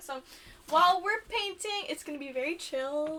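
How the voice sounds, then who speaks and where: A woman projects a raised voice at a high pitch with lively intonation. She talks at a fairly quick pace. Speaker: podcast co-host. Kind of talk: casual chat. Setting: in a camper in a driveway. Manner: loud.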